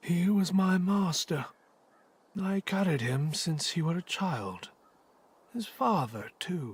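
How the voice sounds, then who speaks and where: A put-on character voice at a middle pitch, fairly slow, with long, frequent pauses. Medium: video game.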